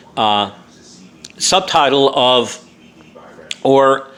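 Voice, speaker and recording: With an American accent, a man speaks at a medium pitch. His intonation is lively, and background noise is noticeable. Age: 60s. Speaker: author and vlogger. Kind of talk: casual monologue. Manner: halting, many fillers.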